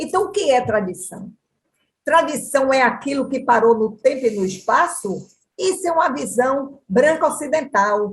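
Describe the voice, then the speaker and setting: This woman speaks at a fairly slow pace in a high voice, her animated tone marked by very wide pitch swings. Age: 60s. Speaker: dance researcher. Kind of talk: panel discussion.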